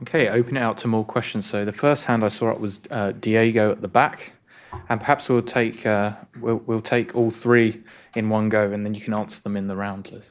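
A man with a British accent and monotone, flat intonation, on a very clean recording with a silent background. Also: medium pitch for a man, fairly quick pace. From UK. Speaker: think tank economist and moderator. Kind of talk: event moderation. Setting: stage with audience.

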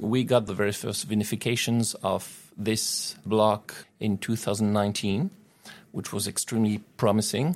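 In a French accent, a man speaks at a fairly slow pace, his pitch fairly low and his intonation fairly even. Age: 40s. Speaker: winemaker. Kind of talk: interview. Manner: halting, many fillers.

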